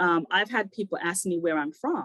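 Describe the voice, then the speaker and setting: A woman with a fairly low pitch talks at a moderate pace in a dry, close sound with no echo. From England, Jamaican heritage. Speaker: panelist. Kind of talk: panel webinar discussion. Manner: direct.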